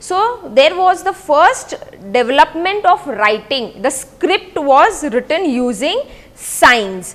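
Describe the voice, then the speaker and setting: A woman speaks very slowly in a high voice, her pitch swinging very widely. Noticeable background noise sits behind her. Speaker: school teacher. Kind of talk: lecture.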